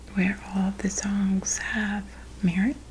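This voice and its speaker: Soft-spoken whispering at a very slow pace, with noticeable background noise. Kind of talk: ASMR show-and-tell. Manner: soft-spoken, whispered.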